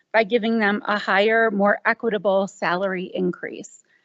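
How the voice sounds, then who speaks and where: This is a woman speaking. Her pace is moderate. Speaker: parent speaking at public comment. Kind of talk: prepared public comment at school board meeting. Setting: school board meeting.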